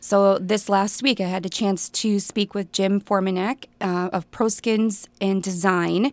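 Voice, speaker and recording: A woman's medium-pitched voice in an Upper Midwest accent, fairly slow with hardly any pauses and fairly even intonation, in a dry, close sound with no echo and a very clean recording with a silent background. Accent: Upper Midwest (Minnesota). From central Minnesota. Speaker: newspaper reporter. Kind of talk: casual radio interview.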